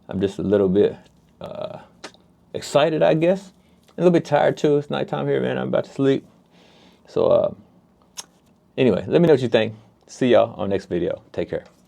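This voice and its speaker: A man with an American accent at a fairly quick pace, with long, frequent pauses and noticeable background noise. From United States. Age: 40s. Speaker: investing youtuber. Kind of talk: casual vlog talk. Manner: fast.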